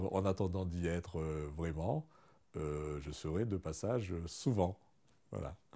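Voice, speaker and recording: In a quiet background, a man with a very deep, low pitch talks at a very slow pace, with long, frequent pauses and ordinary pitch variation. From Madagascar. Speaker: chemical engineer and ecotourism guide. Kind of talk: interview testimony. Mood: warm, smiling, calm. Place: home room. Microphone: lapel.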